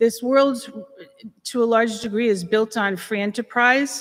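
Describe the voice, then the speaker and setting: A woman at a moderate pace. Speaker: property owner speaking at public comment. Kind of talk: public comment at council meeting. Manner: halting, many fillers.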